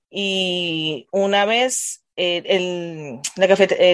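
Fairly even in intonation, a woman speaks at medium pitch. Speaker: adult education teacher. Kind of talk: casual chat.

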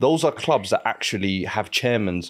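In a normal speaking voice, a man at medium pitch speaks with lively intonation at a moderate pace, on a very clean recording with a silent background. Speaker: football pundit, Spurs fan. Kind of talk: live casual sports chat show.

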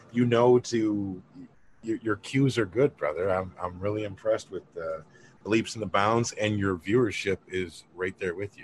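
Somewhat breathy, the speech proceeds at a moderate pace. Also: man. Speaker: cannabis podcast host. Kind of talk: casual chat. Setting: video call.

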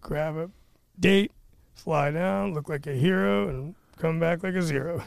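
A man with a fairly high pitch speaks at a fairly slow pace with lively intonation. He takes long, frequent pauses. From born in the US Northeast, raised in Pinellas County, Florida. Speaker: podcast guest. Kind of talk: casual storytelling. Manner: quiet, soft-spoken.

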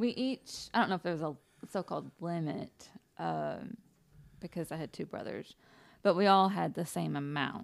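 A woman's fairly low voice with lively intonation at a moderate pace, with long, frequent pauses, in a very clean recording with a silent background. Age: 20s. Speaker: guest co-host, a pastor's wife and mother. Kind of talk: casual chat. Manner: halting, many fillers.

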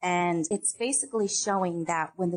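In a dry, close sound with no echo, a woman with an American accent talks in an unremarkable speaking voice, fairly low-pitched, with ordinary pitch variation. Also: quiet background. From upstate New York. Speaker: client services manager at a financial risk company. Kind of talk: interview.

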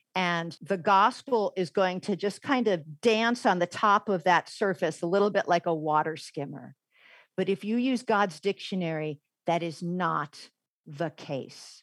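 In an American accent, a woman with an unremarkable speaking voice talks fairly slowly at a medium pitch, the recording very clean with a silent background and a dry, close sound with no echo. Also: ordinary pitch variation. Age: 50s. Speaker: former English professor. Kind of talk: interview.

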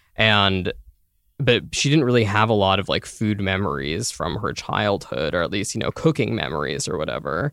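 A man's fairly low voice with vocal fry and very wide pitch swings, at a moderate pace, on a very clean recording with a silent background. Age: 20s. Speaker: food writer. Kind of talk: interview.

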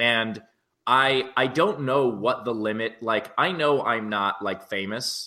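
On a very clean recording with a silent background, an unremarkable speaking voice shows ordinary pitch variation. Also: man. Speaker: comedian. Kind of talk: casual chat. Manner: jokey, quick-witted.

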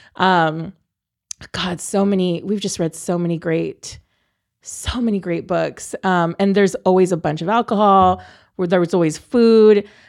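A woman with an American accent and a plain, everyday voice, medium pitch, fairly even intonation, fairly slow pace, on a very clean recording with a silent background. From Texas, San Antonio. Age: 30s. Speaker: stand-up comedian. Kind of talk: casual chat.

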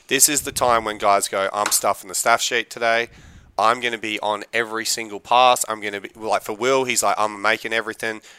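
Recorded very cleanly against a silent background, a man with an Australian accent speaks at a fairly quick pace in a bright, sharp tone. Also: medium pitch for a man. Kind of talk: casual chat. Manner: animated.

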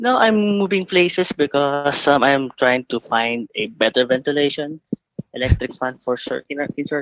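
Speaking with a Filipino accent, this voice has lively intonation and a dry, close sound with no echo. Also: man, fairly high pitch for a man, moderate pace. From Philippines. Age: 20s. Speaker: caller. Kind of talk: advice call-in.

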